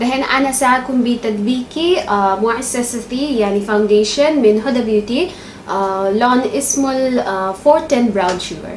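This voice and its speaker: A high-pitched woman's voice at a fairly slow pace with hardly any pauses, ordinary pitch variation, audible room echo and noticeable background noise. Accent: non-native. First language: not Arabic (speaking Arabic). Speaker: beauty vlogger. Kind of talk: makeup tutorial. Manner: halting, many fillers.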